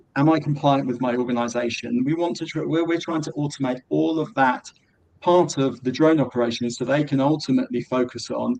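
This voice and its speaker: A man speaks with a British accent at a fairly quick pace. His medium pitch shows ordinary variation. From Britain. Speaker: drone software company representative. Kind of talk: webinar presentation.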